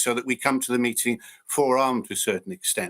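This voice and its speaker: At a fairly quick pace, an unremarkable speaking voice comes through on a very clean recording with a silent background. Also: man. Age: 60s. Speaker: local councillor. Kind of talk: council meeting debate.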